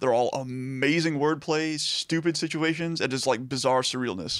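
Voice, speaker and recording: A man with an American accent speaks in a normal speaking voice at a fairly high pitch, with ordinary pitch variation, on a very clean recording with a silent background. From Texas, Liberty area near Houston. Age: 30s. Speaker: podcast guest discussing music. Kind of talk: casual chat.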